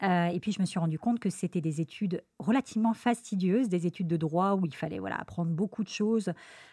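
A woman's somewhat breathy, dark, mellow voice at medium pitch with ordinary pitch variation, a very fast pace and hardly any pauses, in a dry, close sound with no echo on a very clean recording with a silent background. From Lyon, France. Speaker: surgeon. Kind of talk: interview.

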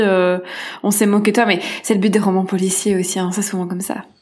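Speaking at a moderate pace, a woman's voice carries an audible echo from the room. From Belgium. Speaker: screenwriter. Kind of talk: casual chat about books. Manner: halting, many repetitions.

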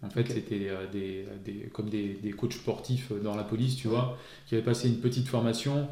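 Speaking at a fairly quick pace, a man with a medium-pitched, dark, mellow and somewhat breathy voice is heard with audible room echo. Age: 40s. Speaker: police officer. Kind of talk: interview.

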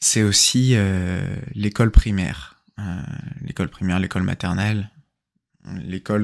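On a very clean recording with a silent background, a man with a fairly low pitch speaks at a fairly slow pace with ordinary pitch variation. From central Brittany, France. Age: 20s. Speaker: podcaster. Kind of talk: personal storytelling monologue. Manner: hesitant, many fillers.

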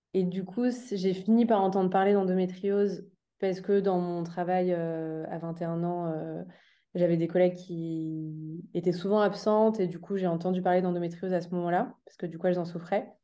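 The speaker has a dark, mellow tone and a flat, monotone delivery at a moderate pace, with big swings in loudness. Audible room echo surrounds the voice. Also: woman, medium pitch for a woman. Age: 20s. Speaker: endometriosis awareness advocate, association co-founder. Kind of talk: interview. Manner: halting, many fillers.

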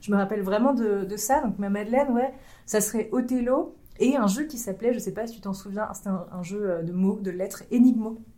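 A woman's fairly high, somewhat breathy voice, dark and mellow in tone, with ordinary pitch variation. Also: fairly quick pace. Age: 30s. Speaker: YouTuber and escape room game master. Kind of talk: casual interview chat. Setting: recorded at a games festival.

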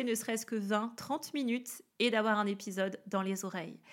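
The recording is very clean, with a silent background. A woman speaks in an enthusiastic tone. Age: 30s. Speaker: wellness coach. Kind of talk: podcast monologue. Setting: home office.

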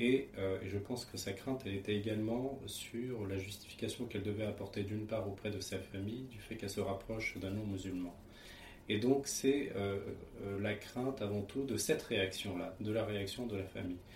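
There is noticeable background noise and audible room echo as a man speaks in a fairly low pitch with fairly even intonation. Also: moderate pace. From France, Paris region (Seine). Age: 30s. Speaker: interviewee, husband in interfaith couple. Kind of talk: testimony. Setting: at home. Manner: hesitant, frequent fillers.

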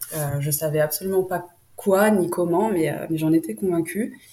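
Against noticeable background noise, a woman with a fairly low pitch and ordinary pitch variation talks at a fairly slow pace. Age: 20s. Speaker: entrepreneur. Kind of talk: interview.

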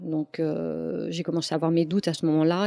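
A woman with a very deep, low pitch, a dark, mellow tone and a fairly quick pace. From France. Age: 40s. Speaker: domestic violence survivor. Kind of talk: testimony. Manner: halting.

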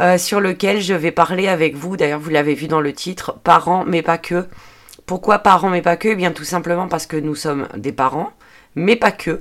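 The recording is very clean, with a silent background. A woman with a fairly low pitch talks at a moderate pace with ordinary pitch variation. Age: 40s. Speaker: podcaster and budgeting/personal development YouTuber. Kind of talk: solo podcast monologue. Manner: hesitant, many fillers.

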